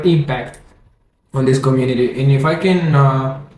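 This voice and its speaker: With audible room echo, a man speaks in a Spanish accent and ordinary pitch variation. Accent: Spanish accent, non-native English. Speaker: forex trading educator. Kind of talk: tutorial. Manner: halting, many self-corrections; casual, energetic.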